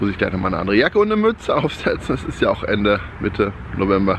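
Over noticeable background noise, a man talks at a very fast pace in a fairly low pitch with ordinary pitch variation, and the sound is dry with no echo. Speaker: camper van vlogger. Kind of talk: casual vlog chat. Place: street. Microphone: phone near.

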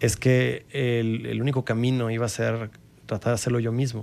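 A man is speaking. His pace is fairly slow. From Coahuila, Mexico. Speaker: filmmaker; guest. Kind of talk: interview. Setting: studio. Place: studio. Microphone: studio mic.

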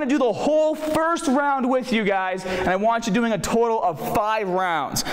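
Moderate pace with audible room echo. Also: man. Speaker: fitness trainer. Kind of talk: tutorial. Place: gym. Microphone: lapel.

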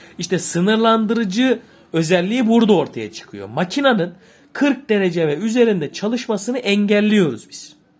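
Over noticeable background noise, the speech moves at a moderate pace with big swings in loudness. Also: man, high pitch for a man, ordinary pitch variation. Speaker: boiler repair instructor. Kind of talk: tutorial. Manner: halting.

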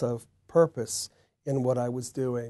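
Over a quiet background, a man speaks at a fairly slow pace. His pitch is medium and his tone dark and mellow. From United States. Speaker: composer. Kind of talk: interview. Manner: halting. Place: home room. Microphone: lapel.

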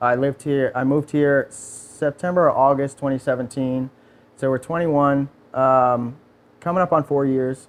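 A man's fairly high voice, fairly slow, in a flat monotone at a very even volume. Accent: American. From New York. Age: 30s. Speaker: automotive performance technician. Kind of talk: casual interview. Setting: studio.

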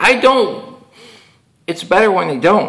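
In a raised, projected voice with an American accent, the speaker goes at a fairly slow pace against a quiet background. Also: man. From Chicago. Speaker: YouTube MMA commentator; vlogger. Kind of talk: solo monologue / rant. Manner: rambling, repetitive, with fillers. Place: home room. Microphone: webcam.

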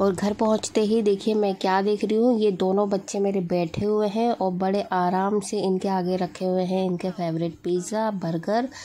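A woman speaks in a dark, mellow tone with fairly even intonation. Her loudness is very even, and she hardly pauses. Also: medium pitch for a woman, fairly slow pace. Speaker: family vlogger. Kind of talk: casual vlog narration. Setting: outdoors at market.

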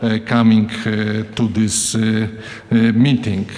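The speech comes at a very slow pace in a flat, monotone delivery. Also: man. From Poland. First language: Polish. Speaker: academic official; host giving welcome address. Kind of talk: welcome address. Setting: conference room with audience. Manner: halting. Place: hall. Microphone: podium.

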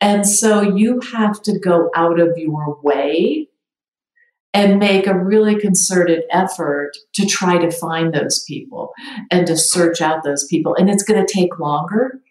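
A woman with an American accent speaks at a fairly slow pace in a medium pitch. She has a plain, everyday voice, with ordinary pitch variation. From Michigan. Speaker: sales executive. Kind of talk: interview.

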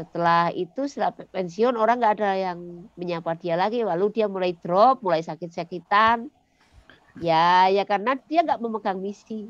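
Moderate pacing and ordinary pitch variation in a woman's speech. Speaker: school founder and former mining engineer; podcast guest, educator. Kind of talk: interview. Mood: cheerful, smiling. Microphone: headset.

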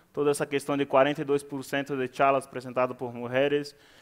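Over a quiet background, a man talks at a moderate pace in a fairly high, monotone, flat voice. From Brazil. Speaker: conference speaker, Python community organizer; conference speaker. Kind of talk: conference talk. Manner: halting, with frequent fillers. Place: hall.

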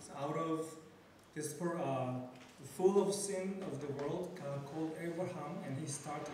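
A man talks at a fairly slow pace with ordinary pitch variation. Strong room echo and light background noise surround him. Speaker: conference speaker. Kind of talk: lecture. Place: hall.

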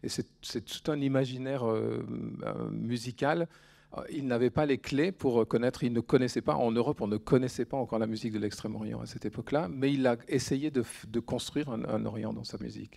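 A man speaks at a moderate pace with a dark, mellow tone and ordinary pitch variation. The background is quiet. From France. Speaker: orchestra conductor. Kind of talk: public talk with audience. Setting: bookshop event with live audience. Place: shop.

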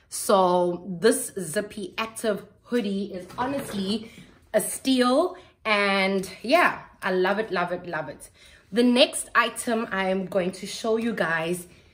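The woman speaks at a very slow pace. Her loudness swings widely from moment to moment. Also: ordinary pitch variation. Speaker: lifestyle vlogger. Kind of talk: casual haul vlog chat. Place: home room. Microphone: phone near.

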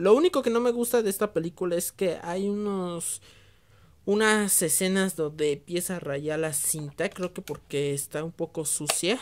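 A woman with a plain, everyday voice speaks at a fairly slow pace, her fairly low pitch showing ordinary variation. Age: 20s. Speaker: VHS collector YouTuber. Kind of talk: casual video review. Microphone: phone near.

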